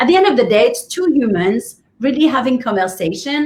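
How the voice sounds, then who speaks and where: A woman talks with a French accent. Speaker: business coach. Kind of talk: interview.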